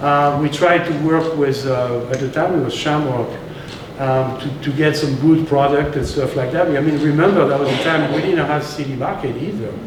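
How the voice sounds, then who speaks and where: A man speaks at a moderate pace and a fairly high pitch. There is noticeable background noise and audible room echo. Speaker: restaurateur and chef. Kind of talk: storytelling talk to local audience. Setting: live talk with audience, slides. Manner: animated. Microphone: no microphone, room sound.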